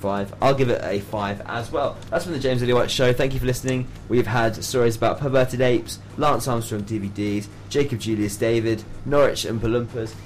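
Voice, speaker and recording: Music plays in the background as a man speaks at a fairly quick pace with a medium pitch. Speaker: student radio DJ. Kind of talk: radio DJ patter, scripted jingles and banter. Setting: university radio studio. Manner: animated, jokey, upbeat.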